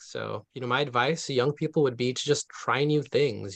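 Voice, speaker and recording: An American-accented man speaks fairly quickly with fairly even intonation in an unremarkable speaking voice. The sound is dry and close, with no echo. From US West Coast, East Palo Alto, California. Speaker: urban forestry manager and arborist. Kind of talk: panel talk. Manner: casual, many fillers.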